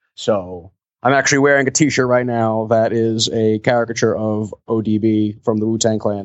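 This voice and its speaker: With an unremarkable speaking voice, a man talks at a moderate pace and medium pitch, keeping his intonation fairly even. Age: 20s. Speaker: professional mascot performer. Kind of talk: interview.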